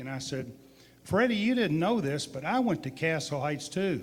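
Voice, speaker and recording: Intonation is lively and the pace is moderate. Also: man. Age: 60s. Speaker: distillery owner. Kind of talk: storytelling at a live public event. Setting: museum event with live audience. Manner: animated.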